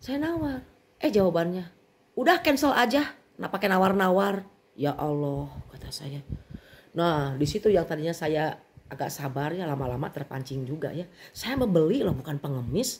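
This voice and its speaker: A woman's fairly low, somewhat breathy voice with a West Javanese accent, at a moderate pace with very wide pitch swings. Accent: Sundanese. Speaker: bag seller vlogger. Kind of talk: casual vent to viewers.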